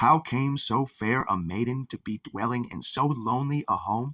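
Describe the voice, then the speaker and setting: A man puts on a character voice at medium pitch, speaking at a moderate pace with a dry, close sound and no echo. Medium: read story.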